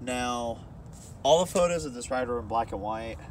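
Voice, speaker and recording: A man's lively intonation comes through a dry sound with no echo and noticeable background noise. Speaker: local guide. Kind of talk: casual explanatory chat. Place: forest. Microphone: phone near.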